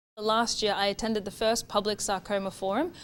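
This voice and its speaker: On a very clean recording with a silent background, a woman talks at a very fast pace and a medium pitch. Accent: Australian. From Australia, Townsville, regional North Queensland. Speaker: PhD researcher. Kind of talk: interview monologue, researcher profile.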